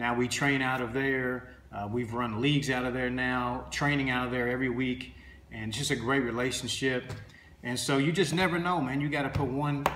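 A man speaks at a moderate pace with fairly even intonation, against light background noise and audible room echo. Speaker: basketball trainer. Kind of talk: casual vlog chat. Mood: earnest, motivational. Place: home room. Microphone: phone near.

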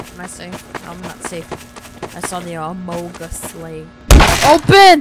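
A woman talks at a fairly slow pace. Behind her, music can be heard. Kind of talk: casual gameplay commentary. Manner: excitable.

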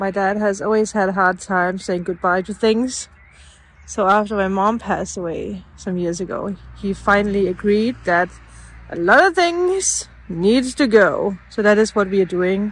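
At a fairly slow pace, a woman speaks with fairly even intonation in a dry sound with no echo. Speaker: vlogger. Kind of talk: casual vlog chat. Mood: relaxed, nostalgic. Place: garden. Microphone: phone near.

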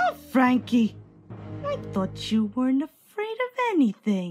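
A female-sounding voice does a put-on character voice at a fairly slow pace, with faint music in the background. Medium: audio drama.

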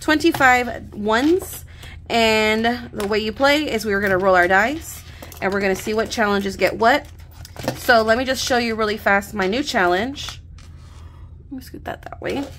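Over faint music in the background, a woman speaks at a moderate pace in a fairly high pitch with ordinary pitch variation, big swings in loudness and long, frequent pauses. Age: 30s. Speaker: budgeting YouTuber. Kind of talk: casual vlog tutorial. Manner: animated. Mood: cheerful, relaxed. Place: home room. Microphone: studio mic.

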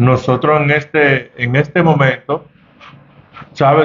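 A man talks in a monotone, flat intonation. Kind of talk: interview answer. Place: office. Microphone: handheld.

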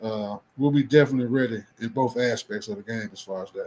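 A man talks at a fairly quick pace in a Mississippi accent. His tone is dark and mellow. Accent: Southern US (Mississippi). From US South. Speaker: football coach. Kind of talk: interview. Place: home room.

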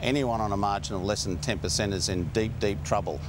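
A man talks at a moderate pace with a very deep, low pitch and ordinary pitch variation. Noticeable background noise is present, and the sound is dry with no echo. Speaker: political commentator, remote guest. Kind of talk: interview answer. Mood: argumentative, insistent. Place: studio.

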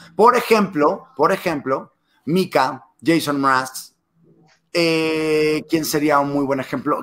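A man's fairly high-pitched, normal speaking voice with ordinary pitch variation, recorded very cleanly over a silent background. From Mexico, Monterrey. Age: 20s. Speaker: TV presenter and YouTuber. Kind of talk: casual interview.

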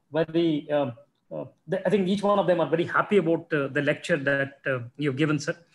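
Fairly even intonation marks this man's fairly high-pitched voice. He speaks at a moderate pace with an Indian accent. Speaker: science centre official and moderator; moderator. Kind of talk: formal introduction and moderated Q&A. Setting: video call. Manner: halting, many fillers. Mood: warm, appreciative. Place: office. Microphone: video call.

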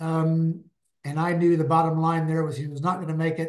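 Intonation stays monotone and flat. The background is quiet. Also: man. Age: 80s+. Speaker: endurance coach and author; endurance coach. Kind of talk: interview conversation. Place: home room. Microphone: video call.

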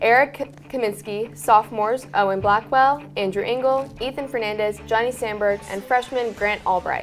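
Over faint music in the background, a woman speaks at a moderate pace with ordinary pitch variation and hardly any pauses. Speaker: student news anchor. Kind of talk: news report. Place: studio. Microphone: lapel.

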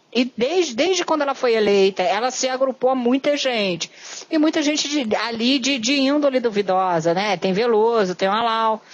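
A woman's fairly high-pitched voice at a moderate pace, with lively intonation, very even loudness and noticeable background noise. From Rio de Janeiro. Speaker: podcast host. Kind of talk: interview.

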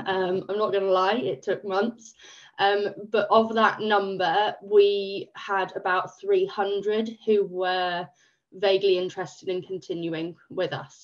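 Against a quiet background, a woman with an English accent speaks very slowly, her intonation fairly even. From England. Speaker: volunteer project manager. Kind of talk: webinar presentation. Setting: video call. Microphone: video call.

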